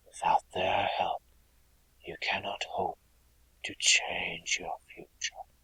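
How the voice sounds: A man's slow, husky, rough whisper in a put-on character voice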